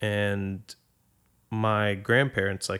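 A man speaks in a fairly low voice. He has an American accent. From Boston, Massachusetts. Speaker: podcast guest. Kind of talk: casual chat.

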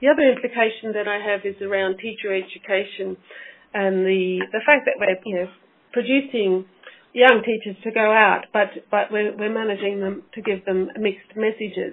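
The speaker has an Australian accent and talks at a moderate pace with fairly even intonation. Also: woman, medium pitch for a woman. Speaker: teacher educator, academic researcher. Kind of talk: interview. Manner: halting, many fillers.

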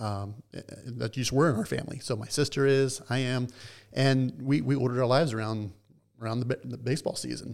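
Here a man talks with an American accent, his pitch medium. He has an ordinary speaking voice with ordinary pitch variation. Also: fairly quick pace. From US South, Atlanta, Georgia. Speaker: baseball team historian. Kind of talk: interview conversation.

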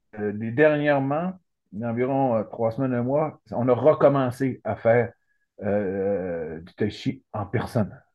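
Ordinary pitch variation carries speech that goes at a very slow pace. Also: man. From Quebec, Saguenay–Lac-Saint-Jean. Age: 60s. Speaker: retired lawyer, cancer patient. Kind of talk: interview. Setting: video call. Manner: halting.

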